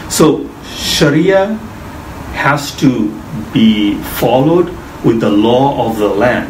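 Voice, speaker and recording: Amid light background noise, a man with a medium pitch and lively intonation talks at a very slow pace. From Bangladesh. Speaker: mortgage finance specialist. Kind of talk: interview explaining finance. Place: office. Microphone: camera far.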